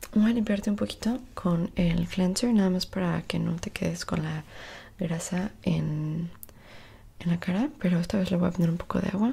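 A soft-spoken woman with a fairly low pitch talks at a moderate pace, somewhat breathy, with ordinary pitch variation. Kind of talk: ASMR roleplay, soft close talk. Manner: soft intimate ASMR voice. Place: home room. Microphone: earbuds.

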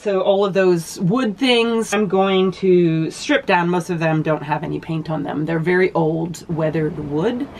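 There is light background noise. A woman talks at a fairly low pitch. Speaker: boat owner vlogger. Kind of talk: casual vlog chat. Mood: earnest, upbeat. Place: boat. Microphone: phone near.

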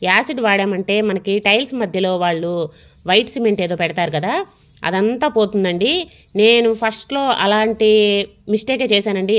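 With ordinary pitch variation, a woman talks in a quiet background. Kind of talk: tutorial. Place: kitchen.

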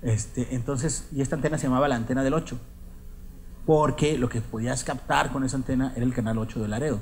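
Over light background noise, a man uses a normal speaking voice at medium pitch, keeping a fairly quick pace and fairly even intonation. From northeastern Mexico, Coahuila. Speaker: writer; writer giving a lecture. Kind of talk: lecture. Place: hall. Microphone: podium.

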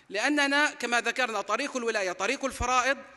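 A man's raised, projected voice, bright and sharp in tone, at a moderate pace against a quiet background. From Palestine. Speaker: preacher. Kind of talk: sermon. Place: hall. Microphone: podium.

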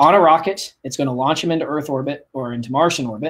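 Using a plain, everyday voice, a man with an American accent speaks at a fairly high pitch with ordinary pitch variation. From Kansas (Wichita). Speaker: aerospace engineer. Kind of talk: interview. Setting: video call.

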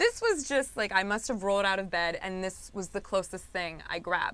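A woman speaks in a bright, sharp tone. Her intonation is lively and her pace moderate. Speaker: guest, magazine co-creator. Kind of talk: interview answer. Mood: upbeat, playful, laughing. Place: studio. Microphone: lapel.

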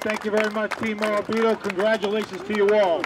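With faint background noise behind him, a man talks at a fairly quick pace in a high pitch.

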